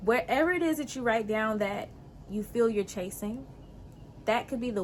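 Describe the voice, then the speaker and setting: Calm yet animated in tone, a woman speaks at a medium pitch with ordinary pitch variation and a somewhat breathy voice. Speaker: spiritual lifestyle show host. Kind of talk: motivational talk to viewers; guided hypnosis intro. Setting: outdoors.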